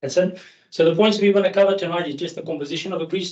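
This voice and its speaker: Speaking at a very fast pace, a man talks with a South African accent. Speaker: grease industry engineer. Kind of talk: technical presentation. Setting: meeting hall, hybrid. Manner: hesitant with fillers.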